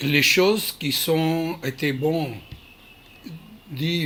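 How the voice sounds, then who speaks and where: There is noticeable background noise as a man with a non-native accent speaks at a very slow pace. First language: not French (speaking French). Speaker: Krav Maga instructor. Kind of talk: video address. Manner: halting, many hesitations.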